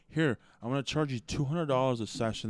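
Ordinary pitch variation and medium pitch mark a man's speech in a plain, everyday voice. The recording is very clean, with a silent background. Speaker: podcast host. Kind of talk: casual chat.

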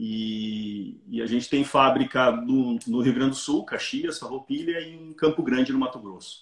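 In a normal speaking voice, the speaker goes at a fairly slow pace with hardly any pauses, using lively intonation and big swings in loudness. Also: man, medium pitch for a man. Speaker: businessman and author. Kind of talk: casual interview. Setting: Instagram live video call.

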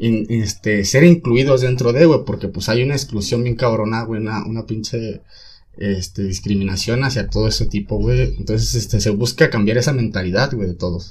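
A man with a medium-pitched, somewhat breathy voice talks at a moderate pace with ordinary pitch variation. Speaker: teacher in training. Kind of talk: casual chat.

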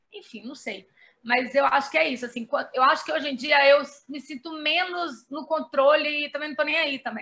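A woman's high, bright, sharp voice at a moderate pace, with ordinary pitch variation and big swings in loudness. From Brazil, Belo Horizonte, Minas Gerais. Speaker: journalist and writer. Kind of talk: casual interview.

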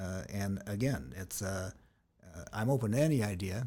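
In an American accent, a man speaks at a fairly low pitch and moderate pace with ordinary pitch variation. His tone is dark, mellow and somewhat breathy. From US West Coast, San Diego. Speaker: local party official. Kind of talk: interview. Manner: halting with frequent fillers.

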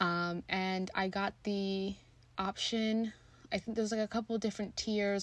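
A woman talks at a medium pitch with monotone, flat intonation. The recording is very clean, with a silent background. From Kenya, moved to US at seven. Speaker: podcast host. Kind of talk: casual solo monologue.

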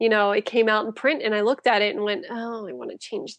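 A woman with an American accent speaks at a fairly quick pace in an unremarkable speaking voice, her fairly high pitch moving with ordinary variation against a quiet background. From western Pennsylvania, near Pittsburgh. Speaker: author. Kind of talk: casual interview chat.

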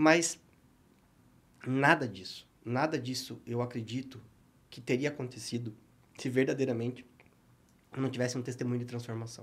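A man's medium-pitched, somewhat breathy voice at a moderate pace, with long, frequent pauses, big swings in loudness and fairly even intonation. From southern Brazil (Paraná, born Rio Grande do Sul). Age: 30s. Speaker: businessman and church speaker. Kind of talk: podcast interview with faith testimony.

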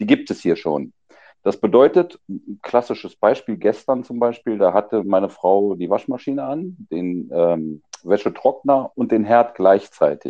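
A man at medium pitch, very wide pitch swings, fairly slow pace. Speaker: emigrant. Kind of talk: casual chat.

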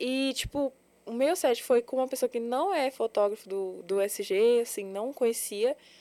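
Fairly slow, lively intonation in a dark, mellow tone, with a dry, close sound and no echo. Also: woman, high pitch for a woman. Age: 20s. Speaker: adult content creator and model. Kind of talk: casual interview chat. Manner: nervous, jumbled speech.

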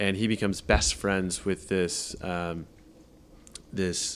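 A man with a Californian accent speaks at a very slow pace. His very deep, low pitch stays monotone and flat. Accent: Californian American. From Southern California. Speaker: film producer. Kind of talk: casual interview.

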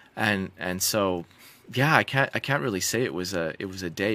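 A man with a Canadian accent speaks at a fairly quick pace, his pitch very deep and low. His tone is bright and sharp on a very clean recording with a silent background. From British Columbia, Canada. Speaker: medical doctor and geoscientist. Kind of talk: interview conversation.

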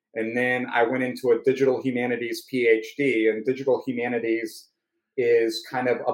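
A medium-pitched male voice with an American accent at a moderate pace. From North Carolina (Raleigh). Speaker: sales engineer. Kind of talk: casual chat.

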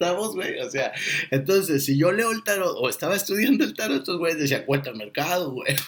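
A high-pitched man at a fairly quick pace with very wide pitch swings, over noticeable background noise. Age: 40s. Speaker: podcast host. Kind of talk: casual monologue.

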